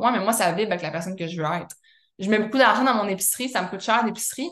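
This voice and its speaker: This woman's voice sits at medium pitch with a bright, sharp tone. Her pitch varies in an ordinary way. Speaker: wellness coach and podcast host. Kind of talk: mentoring session answering member questions. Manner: casual, filler-heavy speech.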